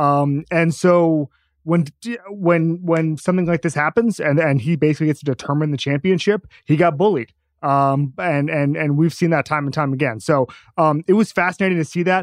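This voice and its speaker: A man with an ordinary speaking voice talks at a moderate pace and a fairly high pitch, with ordinary pitch variation. The sound is dry and close with no echo, over a quiet background. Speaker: sports writer, F1 enthusiast. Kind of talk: casual sports talk.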